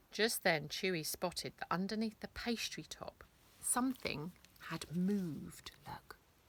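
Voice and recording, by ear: A natural voice reading aloud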